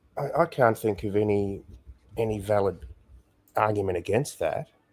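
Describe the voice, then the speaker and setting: A somewhat breathy man's voice at a fairly low pitch, with ordinary pitch variation. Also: moderate pace. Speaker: guest commentator. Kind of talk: casual interview chat. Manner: slurred words; halting, hesitant.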